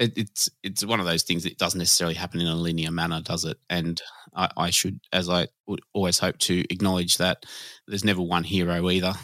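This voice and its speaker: A man with an Australian accent, very deep and low in pitch, bright and sharp in tone, monotone and flat, at a fairly quick pace, in a dry, close, very clean recording with no echo and a silent background. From Sydney southwest, Australia. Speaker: nighttime economy commissioner. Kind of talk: interview conversation. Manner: halting.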